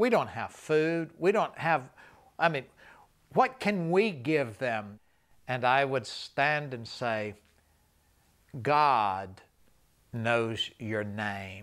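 Very slow speech from a man, with lively intonation, long, frequent pauses and a quiet background. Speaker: evangelist recounting travels. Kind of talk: interview answer, storytelling. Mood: warm, smiling, emotional. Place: studio.

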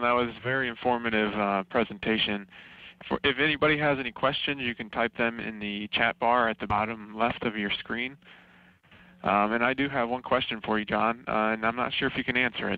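Dry, echo-free sound carries a man's voice. He talks at a fairly quick pace with fairly even intonation. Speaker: webinar moderator. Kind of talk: webinar introduction. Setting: online webinar. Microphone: video call.

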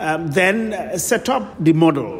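A man with a high voice speaks with lively intonation over music in the background. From Gambia. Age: 60s. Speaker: real estate developer. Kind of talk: radio interview. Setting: studio. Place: studio.

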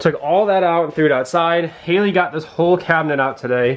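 Here a man speaks at a fairly quick pace. His pitch variation is ordinary. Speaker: vlogger renovating camper. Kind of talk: casual vlog chat.

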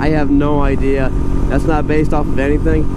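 The sound is dry with no echo, under loud background noise. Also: man. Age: 30s. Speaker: motorcycle dealer and reviewer. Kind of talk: casual vlog, test ride review. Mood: playful, enthusiastic. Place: motorbike. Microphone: helmet.

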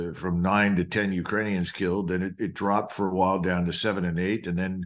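Against a quiet background, a man with a very deep, low pitch talks at a fairly quick pace in monotone, flat intonation. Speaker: guest military commentator. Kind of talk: interview answer. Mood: serious, critical. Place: home room. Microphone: video call.

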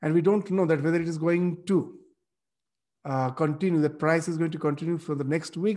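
The background stays quiet. A man talks, his intonation fairly even. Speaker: religious teacher. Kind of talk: lecture. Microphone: webcam.

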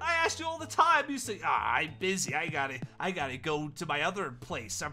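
A cartoonish character voice moves at a fairly quick pace with big pitch swings. The tone is bright and sharp, with faint music in the background. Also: man, fairly high pitch for a man.

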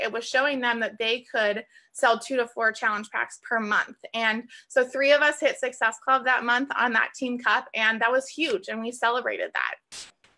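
A woman's raspy, put-on character voice, high-pitched, at a moderate pace with fairly even intonation. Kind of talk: interview answer. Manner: speaking very fast.

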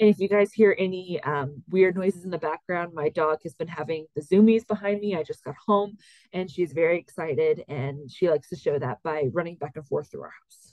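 In a normal speaking voice, a woman speaks at a fairly low pitch with ordinary pitch variation, big swings in loudness and hardly any pauses, in a dry sound with no echo against a quiet background. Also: fairly quick pace. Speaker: course instructor. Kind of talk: lecture. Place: home room.

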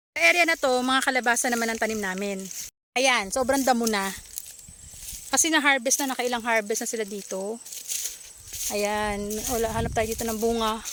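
A woman with a fairly high pitch and a bright, sharp tone speaks with long, frequent pauses. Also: ordinary pitch variation. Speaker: video blogger. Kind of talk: casual vlog narration. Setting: outdoors. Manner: animated.

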